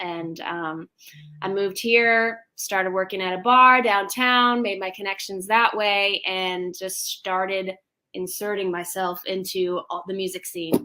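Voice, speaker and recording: Her tone is bright and sharp, with an American accent. The woman speaks at a fairly slow pace in a very clean recording with a silent background. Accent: natural twang. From US Midwest, St. Louis. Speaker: country music singer. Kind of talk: casual interview chat.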